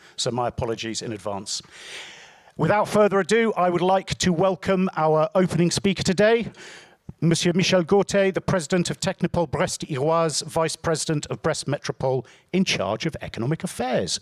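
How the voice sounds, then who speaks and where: Fairly quick, high-pitched speech from a man with a British accent, lively intonation and a dry, close sound with no echo. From UK. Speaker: event presenter. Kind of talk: event hosting.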